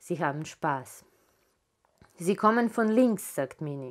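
The background stays quiet. A woman talks very slowly. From Serbia, Belgrade. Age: 40s. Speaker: author. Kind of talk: author reading her own literary prose aloud to a live audience. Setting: live reading event in a photo gallery. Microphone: lapel.

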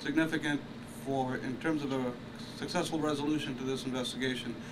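Noticeable noise fills the background. The man's intonation stays fairly even. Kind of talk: press conference statement. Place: street. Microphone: podium.

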